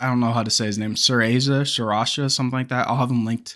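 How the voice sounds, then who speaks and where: In a very clean recording with a silent background, a man speaks at a medium pitch with fairly even intonation. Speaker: gaming youtuber. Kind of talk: casual video commentary. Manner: stumbling, halting today; casual, filler-heavy.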